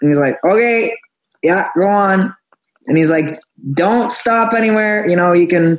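This man has a high-pitched voice with ordinary pitch variation. He speaks at a moderate pace. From Nova Scotia, Canada. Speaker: singer-songwriter. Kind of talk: casual chat.

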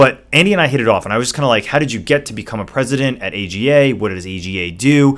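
A man's very fast, lively delivery at medium pitch, with hardly any pauses. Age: 40s. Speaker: podcast co-host and entrepreneur. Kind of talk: casual chat.

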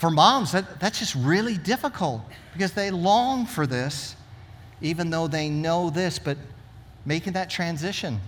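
With lively intonation, a man with a high voice speaks at a fairly slow pace. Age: 60s. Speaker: pastor. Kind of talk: sermon. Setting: church.

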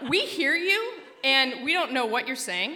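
Raising and projecting her voice over noticeable background noise, a woman with an American accent speaks at a moderate pace in an animated tone with very wide pitch swings. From Alaska. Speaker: storyteller. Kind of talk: personal storytelling talk.

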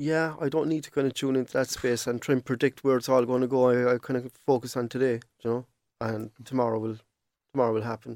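A man in a Cork accent talks at a very fast pace and a medium pitch, flat and monotone, on a very clean recording with a silent background and a dry, close sound with no echo. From Cork, Ireland. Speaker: digital artist. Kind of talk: casual chat.

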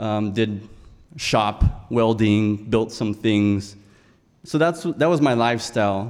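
Very slowly, a man with an American accent talks at a medium pitch with ordinary pitch variation. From South Texas. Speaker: storyteller. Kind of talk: live storytelling. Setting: stage with audience.

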